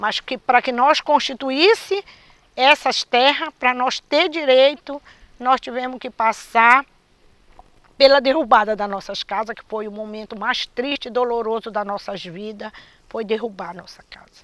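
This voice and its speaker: Speaking at a fairly slow pace, a woman has a high pitch and ordinary pitch variation, with big swings in loudness. The sound is dry and close, without echo. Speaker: quilombo community member. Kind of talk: testimony.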